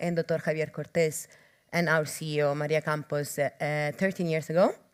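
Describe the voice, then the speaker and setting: A woman speaks in a fairly low pitch with an Italian accent. Her intonation stays monotone and flat. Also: very clean recording, silent background. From Italy. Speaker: clinical trials professional. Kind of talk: conference talk.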